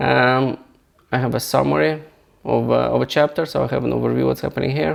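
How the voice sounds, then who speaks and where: A non-native accent marks this voice. Words come at a fairly quick pace. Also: man. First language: not English. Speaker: software founder and novelist; engineer. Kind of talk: software tutorial walkthrough. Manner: halting, many repetitions and restarts.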